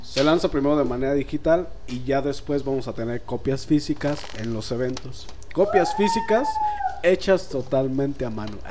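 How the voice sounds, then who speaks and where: Amid noticeable background noise and audible room echo, a man with a Mexican accent speaks at a moderate pace with lively intonation. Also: fairly high pitch for a man. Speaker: singer-songwriter. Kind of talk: casual interview.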